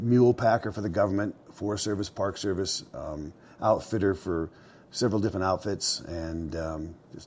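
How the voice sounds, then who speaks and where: A man's plain, everyday voice, fairly low in pitch, with ordinary pitch variation and a moderate pace. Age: 60s. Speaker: mountain man and outfitter. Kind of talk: casual interview storytelling. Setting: indoors at his mountain cabin, fireplace going. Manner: conversational with many fillers and restarts.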